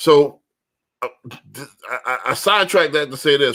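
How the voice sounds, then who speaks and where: A man's bright, sharp voice, fairly high in pitch, at a moderate pace, in a very clean recording with a silent background. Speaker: podcast host, loan officer. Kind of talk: casual podcast chat. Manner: not very articulate.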